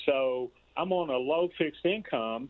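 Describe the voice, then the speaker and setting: This man has a fairly high pitch. His pitch variation is ordinary. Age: 60s. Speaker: caller. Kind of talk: call-in comment.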